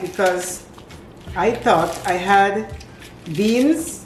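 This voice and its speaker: Both noticeable background noise and audible room echo come through in this clip. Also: woman. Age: 70s. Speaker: home cooking channel host. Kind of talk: cooking tutorial. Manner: casual, hesitant with fillers.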